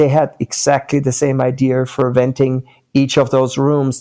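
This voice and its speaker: Speaking at a moderate pace, a man with a fairly high pitch and a dark, mellow tone keeps a monotone, flat intonation. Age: 60s. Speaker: company founder. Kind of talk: interview. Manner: hesitant with fillers.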